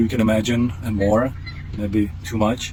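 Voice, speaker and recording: A man talks at a moderate pace, with noticeable background noise and audible room echo. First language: Czech. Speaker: product tester, outdoor enthusiast. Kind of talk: casual vlog-style product review. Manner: halting, many fillers.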